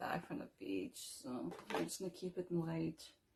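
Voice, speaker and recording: A woman talks rather quickly while obvious background noise carries on. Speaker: beauty vlogger. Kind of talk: makeup tutorial. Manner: casual.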